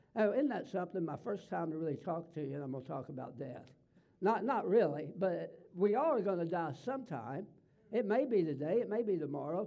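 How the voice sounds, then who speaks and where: Someone speaks fairly quickly in a Southern US accent with very wide pitch swings. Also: man, high pitch for a man. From US South. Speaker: pastor. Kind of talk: sermon. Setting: church.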